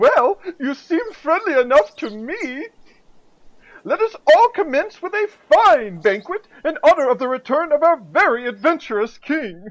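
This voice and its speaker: The voice is a put-on character voice. Its pitch sits high. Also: moderate pace. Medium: audio drama. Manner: excitable, deferential.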